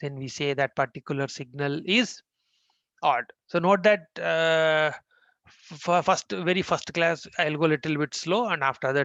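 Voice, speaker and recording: Here a man talks at a fairly slow pace. His pitch is fairly high, with ordinary variation. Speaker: lecturer. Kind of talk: lecture.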